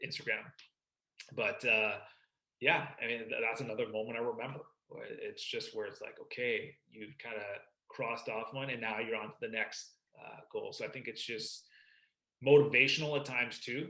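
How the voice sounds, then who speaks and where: A man with a slight Canadian accent speaks at a moderate pace, with big swings in loudness. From Vancouver, Canada. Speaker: sports broadcaster. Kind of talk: podcast interview.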